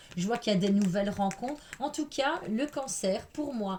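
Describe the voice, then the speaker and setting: With lively intonation, a woman speaks at a medium pitch and a moderate pace. Her tone is animated. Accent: Belgian. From Belgium. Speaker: tarot reader. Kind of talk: tarot reading.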